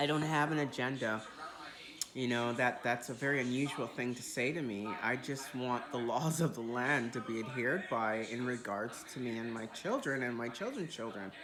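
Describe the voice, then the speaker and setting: A woman with a very deep, low pitch and ordinary pitch variation is heard with noticeable background noise and audible room echo. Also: moderate pace. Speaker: video diarist. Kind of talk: casual video diary. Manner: casual, rambling with fillers.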